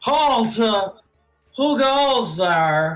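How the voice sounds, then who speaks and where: Faint music plays behind a put-on character voice pitched fairly high. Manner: commanding, challenging.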